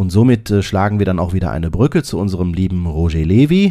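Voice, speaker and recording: The man's voice is very deep and low, with a dark, mellow tone. He keeps a moderate pace and ordinary pitch variation. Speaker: podcast host. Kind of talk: podcast monologue. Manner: casual.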